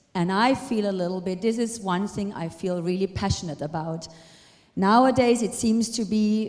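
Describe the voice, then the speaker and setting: With a non-native accent, a woman talks at a moderate pace and a medium pitch, her intonation lively. Noticeable background noise and audible room echo surround her voice. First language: not English. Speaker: retired ballroom dancer and dance teacher. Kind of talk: lecture.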